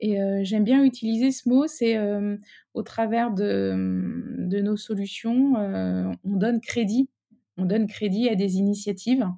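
A woman's medium-pitched voice, dark and mellow in tone, at a very slow pace with fairly even intonation. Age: 40s. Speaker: business executive. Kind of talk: interview. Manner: halting.

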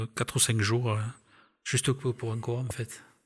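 A man with a southern French accent speaks at a medium pitch, somewhat breathy, in a monotone, flat intonation. His pace is fairly slow on a very clean recording with a silent background. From southern France, Aveyron (Millau). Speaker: retired railway worker and travel photographer. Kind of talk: interview. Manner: halting.

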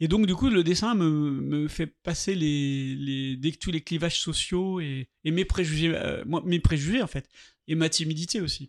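A man with a normal speaking voice talks at a fairly high pitch with ordinary pitch variation. The recording is very clean, with a silent background. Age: 60s. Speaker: artist. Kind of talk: interview. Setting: artist's studio.

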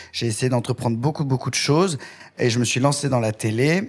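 Pitched at a medium level, a man uses an ordinary speaking voice with ordinary pitch variation. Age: 30s. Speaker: hairdresser and TV presenter. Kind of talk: interview.

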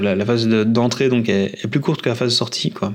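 Medium-pitched male voice at a fairly quick pace, with ordinary pitch variation and noticeable background noise. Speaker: patient sharing his brain surgery story. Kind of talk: personal testimony. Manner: halting; calm.

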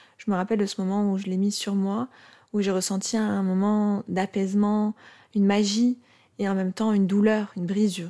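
A woman with a dark, mellow tone speaks at medium pitch and a moderate pace, her intonation monotone and flat. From Morocco. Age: 30s. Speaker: psychologist. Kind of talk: personal testimony. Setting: recorded on host's sofa. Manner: halting.

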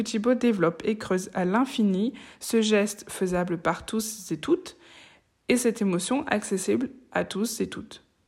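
Her voice is fairly high in pitch and somewhat breathy, from a woman speaking. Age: 20s. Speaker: podcast host. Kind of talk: interview; scripted narration. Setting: video call.

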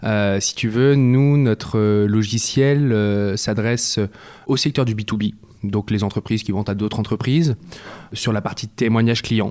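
Using a plain, everyday voice, a man at medium pitch speaks at a fairly slow pace with fairly even intonation. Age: 20s. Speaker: startup co-founder. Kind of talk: interview. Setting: office.

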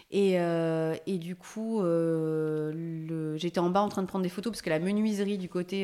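Fairly low-pitched female voice at a moderate pace with fairly even intonation. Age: 40s. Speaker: homeowner who renovated her house. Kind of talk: casual interview. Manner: hesitant, many fillers.

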